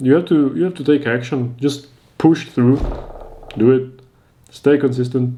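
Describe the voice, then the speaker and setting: With a non-native accent, a man speaks fairly slowly in a fairly high pitch and a dark, mellow tone. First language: not English. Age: 20s. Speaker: YouTuber giving advice. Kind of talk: advice monologue.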